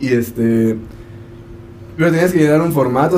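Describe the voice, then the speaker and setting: The speech runs at a very fast pace with ordinary pitch variation, in a room with audible echo and noticeable background noise. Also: man. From Mexico, Chiapas. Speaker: podcast co-host. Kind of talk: casual chat.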